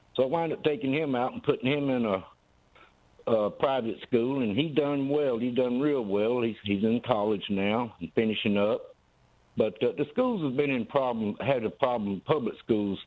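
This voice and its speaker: At a moderate pace, a man with a Southern US accent speaks in a medium pitch with ordinary pitch variation. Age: 60s. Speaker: caller. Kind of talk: call-in comment. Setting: phone call.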